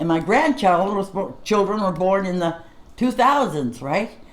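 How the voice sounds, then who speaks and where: A woman talks at a moderate pace with very wide pitch swings. Noticeable background noise can be heard. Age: 80s+. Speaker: show co-host, elderly mother. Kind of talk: casual chat.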